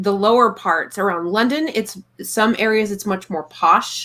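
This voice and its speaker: A woman with a fairly high voice and a Texas accent talks at a fairly slow pace. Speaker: live stream panel host. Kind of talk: casual chat.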